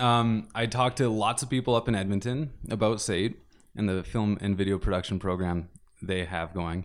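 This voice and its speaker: This man has an ordinary speaking voice with a Canadian accent and a fairly low pitch. He keeps a moderate pace with ordinary pitch variation. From Saskatchewan and moved around, incl. US. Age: 20s. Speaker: film student. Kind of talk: casual interview.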